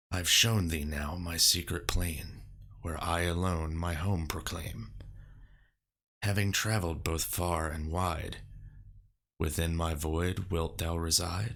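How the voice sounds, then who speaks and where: A man speaks in a put-on character voice, raspy and very deep, at a fairly slow pace with long, frequent pauses, on a very clean recording with a silent background. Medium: solo performance. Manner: archaic, solemn.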